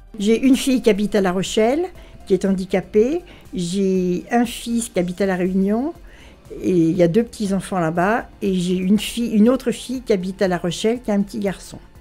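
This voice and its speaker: Music plays in the background as the speaker moves at a fairly quick pace with ordinary pitch variation. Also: woman, medium pitch for a woman. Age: 70s. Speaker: local resident. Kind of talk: interview testimony.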